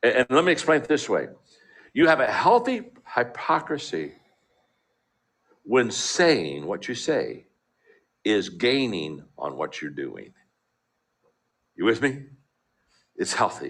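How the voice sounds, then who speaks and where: Delivery comes at a fairly slow pace with long, frequent pauses. The background is quiet. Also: man. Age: 60s. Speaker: motivational speaker. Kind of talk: motivational talk. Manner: halting.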